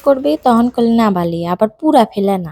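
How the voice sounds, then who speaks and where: With a Pabna accent, a woman talks in lively intonation, recorded dry and close with no echo. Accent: Pabna regional Bengali dialect. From Pabna, Bangladesh. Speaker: home cook. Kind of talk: cooking tutorial narration.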